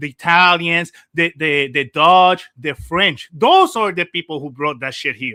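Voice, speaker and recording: The tone is animated. The pace is fairly slow. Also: man. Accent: Puerto Rican. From Puerto Rico. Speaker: caller. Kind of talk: heated debate.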